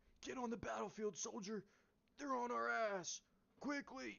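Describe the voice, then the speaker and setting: The speaker uses a put-on character voice at a moderate pace. Its pitch is fairly high. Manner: urgent, barking orders.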